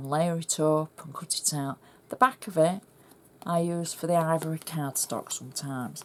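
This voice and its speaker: A woman with a fairly low pitch speaks at a fairly slow pace. Noticeable background noise runs under her voice. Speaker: craft demonstrator. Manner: chatty, instructional.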